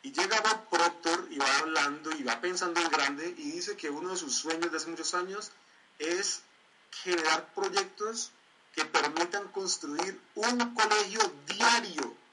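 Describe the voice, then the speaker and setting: Lively intonation at a fairly slow pace amid noticeable background noise. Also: man, high pitch for a man. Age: 20s. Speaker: community leader and motivational trainer. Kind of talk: online training presentation.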